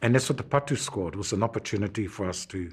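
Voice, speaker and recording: Fairly low-pitched and somewhat breathy, a man talks at a fairly quick pace in a very clean recording with a silent background. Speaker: former politician and activist. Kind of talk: interview.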